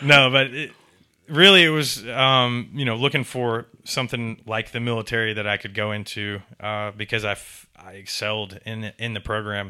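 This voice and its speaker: A man with an American accent speaks at a moderate pace in a medium pitch, a normal speaking voice. His loudness swings widely from moment to moment. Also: ordinary pitch variation. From US South, Tampa, Florida and Atlanta. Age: 30s. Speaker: information security consultant and comedian. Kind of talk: casual interview.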